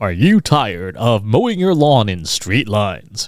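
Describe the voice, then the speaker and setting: Loud and at medium pitch, a man uses a put-on character voice at a moderate pace on a very clean recording with a silent background. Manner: overblown, loud, salesy.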